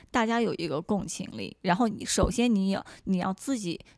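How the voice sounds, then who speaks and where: A woman at medium pitch, an unremarkable speaking voice, fairly slow pace, ordinary pitch variation, and a very clean recording with a silent background. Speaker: actress and model. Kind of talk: casual interview.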